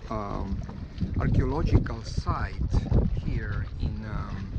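A man speaking at a very slow pace over loud background noise. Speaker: sailor vlogger. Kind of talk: casual vlog narration. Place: waterside. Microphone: phone near.

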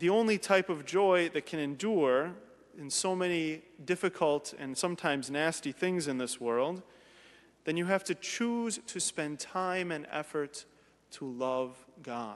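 With ordinary pitch variation, the man speaks at a fairly slow pace. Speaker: priest. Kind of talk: sermon. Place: church.

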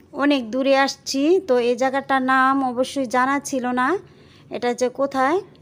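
A woman speaks at a high pitch. Her intonation stays monotone and flat. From Bangladesh. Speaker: lifestyle vlogger; vlogger. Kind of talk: vlog narration. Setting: outdoors; in a car. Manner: casual, halting with fillers. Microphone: phone near.

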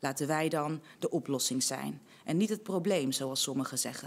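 Ordinary pitch variation from a woman speaking at a moderate pace. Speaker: spoken word poet. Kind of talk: spoken word poetry performance. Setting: online congress recording. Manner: rhythmic, rhetorical, measured delivery; earnest, impassioned. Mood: earnest, measured, heartfelt. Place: studio. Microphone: studio mic.

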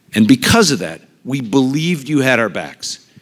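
With an American accent, a man talks in very wide pitch swings against a quiet background. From US Midwest. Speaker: retired hospital CEO and pediatric doctor; conference speaker. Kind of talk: conference talk. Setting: stage with audience. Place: hall.

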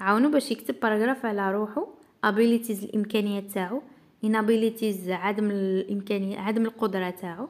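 A woman with an Algerian accent, fairly high in pitch, at a fairly quick pace. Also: ordinary pitch variation. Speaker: English teacher. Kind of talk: tutorial.

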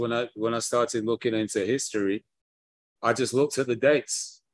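A man with a British accent speaks in a monotone, flat intonation, the sound dry with no echo against a quiet background. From England. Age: 60s. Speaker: history lecturer. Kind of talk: lecture. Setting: video call. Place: home room. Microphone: video call.

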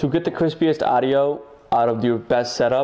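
The pace here is moderate. The speaker is a man. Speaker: motovlogger. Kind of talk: casual vlog chat. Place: home room.

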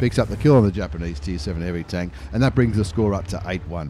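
Recorded with a dry sound, no echo and light background noise, the speaker uses an animated tone and an Australian accent. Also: man. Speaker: video game YouTuber. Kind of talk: live sports-style commentary over game replays. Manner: animated, fast play-by-play delivery; informal, chatty, with fillers and repetition. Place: home room. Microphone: studio mic.

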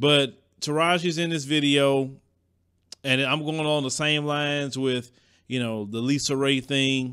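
With fairly even intonation, a man speaks at a moderate pace against a quiet background. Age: 40s. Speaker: entertainment commentary youtuber; show host. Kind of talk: casual monologue; entertainment commentary. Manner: hesitant, many fillers. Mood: opinionated, casual. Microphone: studio mic.

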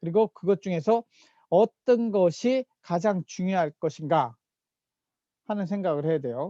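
A man with a high pitch and a dark, mellow tone speaks at a fairly slow pace with long, frequent pauses. His intonation is lively, and the sound is dry and close with no echo. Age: 50s. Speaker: professor. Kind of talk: lecture. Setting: recorded online lecture with screen share.

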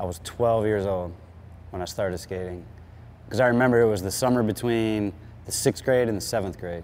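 Light background noise sits behind a man's fairly low voice. He speaks at a fairly quick pace with ordinary pitch variation. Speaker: interviewee. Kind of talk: interview answer. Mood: relaxed, nostalgic. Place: garage. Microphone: lapel.

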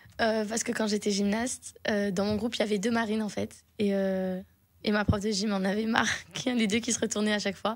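Delivered at a fairly quick pace with long, frequent pauses, the speech has monotone, flat intonation over a quiet background. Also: woman, fairly high pitch for a woman. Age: 20s. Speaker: singer; guest. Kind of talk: radio interview. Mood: cheerful, smiling. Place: studio. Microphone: studio mic.

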